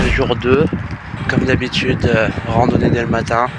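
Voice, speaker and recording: At a moderate pace, a man talks in a medium pitch. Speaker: aspiring explorer vlogger. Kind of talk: casual vlog. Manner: halting, many hesitations.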